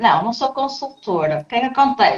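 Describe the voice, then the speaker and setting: A woman speaks with a European Portuguese accent. Her pace is fairly quick. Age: 30s. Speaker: trainer and people manager. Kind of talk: podcast interview. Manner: animated.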